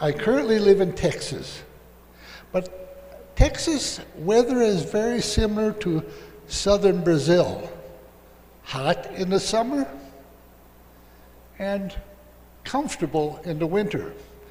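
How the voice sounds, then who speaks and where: A man with an American accent and a high pitch, lively intonation, a very slow pace and long, frequent pauses, amid noticeable background noise and audible room echo. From US Midwest, Minnesota. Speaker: professor. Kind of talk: lecture.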